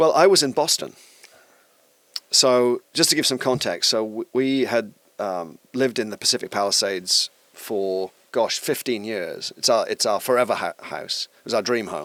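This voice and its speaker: A man in a South Wales accent speaks at a moderate pace, the sound dry and close with no echo. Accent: Welsh (South Wales). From Wales (Bridgend). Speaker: tech company executive. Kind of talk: podcast interview answer.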